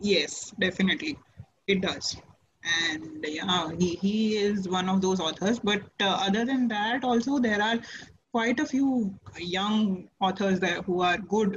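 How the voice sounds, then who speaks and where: A woman's unremarkable speaking voice at medium pitch, fairly slow, with ordinary pitch variation and very even loudness. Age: 30s. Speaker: author. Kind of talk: interview.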